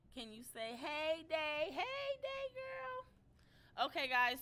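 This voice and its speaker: A woman's voice shows big swings in loudness and ordinary pitch variation over noticeable background noise. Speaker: YouTube drama commentator. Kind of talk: live stream commentary. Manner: casual, chatty; soft-spoken. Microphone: volume problems.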